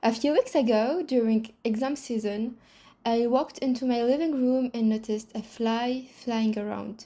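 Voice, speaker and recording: A woman talks in a non-native accent at a fairly slow pace. Her tone is dark and mellow, with fairly even intonation. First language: not English. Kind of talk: reflective monologue to camera.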